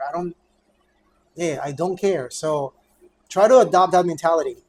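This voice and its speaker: The voice belongs to a man with a high pitch. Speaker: high school teacher and vlogger. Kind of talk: casual vlog monologue. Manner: fast; halting, many fillers and repeats.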